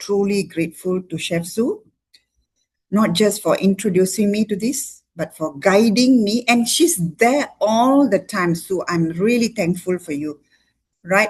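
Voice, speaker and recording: A woman speaks at a fairly slow pace with a medium pitch. Her voice is somewhat breathy, with ordinary pitch variation. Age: 60s. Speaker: doctor giving a product testimony. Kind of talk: testimony. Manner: animated.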